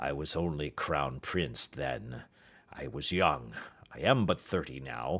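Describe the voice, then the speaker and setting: A raspy, put-on character voice moves at a fairly slow pace. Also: man, very deep, low pitch for a man. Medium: read story. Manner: earnest, emphatic.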